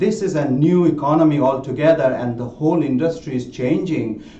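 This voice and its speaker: With a non-native accent, a man talks at a moderate pace and a fairly high pitch, with ordinary pitch variation, noticeable background noise and audible room echo. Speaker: tech executive presenting a webinar. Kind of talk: webinar presentation. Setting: online webinar. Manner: many fillers and repetitions.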